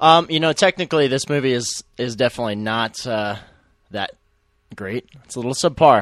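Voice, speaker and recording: A man with an unremarkable speaking voice talks at a moderate pace with lively intonation and big swings in loudness, in a dry, close sound with no echo on a very clean recording with a silent background. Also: medium pitch for a man. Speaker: filmmaker, co-commentator.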